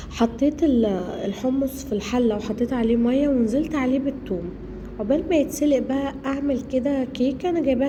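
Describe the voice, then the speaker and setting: A fairly quick pace in an Egyptian accent, with audible room echo and noticeable background noise. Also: woman. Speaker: cooking vlogger, homemaker. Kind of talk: cooking vlog narration. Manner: casual, halting with fillers.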